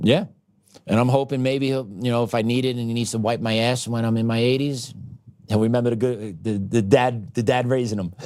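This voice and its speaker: A man talks at a fairly quick pace in an ordinary speaking voice. His pitch is medium, with fairly even intonation. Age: 40s. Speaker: podcast host. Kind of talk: casual conversation.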